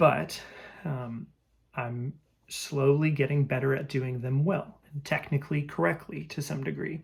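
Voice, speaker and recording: Speaking at a fairly slow pace, a man uses a fairly high, somewhat breathy voice with ordinary pitch variation. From France and Belgium. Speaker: musician vlogger. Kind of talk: personal monologue. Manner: reflective, with filler words.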